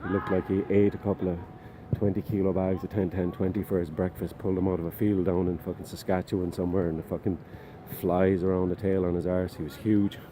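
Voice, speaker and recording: A man with a very deep, low pitch talks very fast in an Irish accent. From Ireland. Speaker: vlogger. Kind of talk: personal testimony. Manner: casual, animated storytelling.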